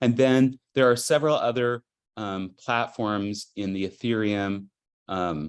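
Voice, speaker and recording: Against a quiet background, a man talks at a fairly slow pace in a normal speaking voice. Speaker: digital artist presenting a workshop. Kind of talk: tutorial presentation. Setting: video call. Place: home room. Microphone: video call.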